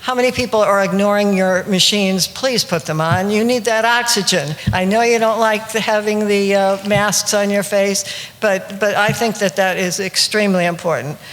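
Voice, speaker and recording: A woman speaks with hardly any pauses, fairly even intonation and very even loudness over noticeable background noise. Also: medium pitch for a woman, moderate pace. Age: 80s+. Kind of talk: seminar talk to live audience. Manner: hesitant, many fillers.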